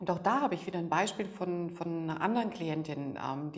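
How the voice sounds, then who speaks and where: Over noticeable background noise and audible room echo, a woman speaks at a fairly low pitch. Her intonation is lively and her pace fairly quick. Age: 40s. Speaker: negotiation expert and emotion coach. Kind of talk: podcast interview.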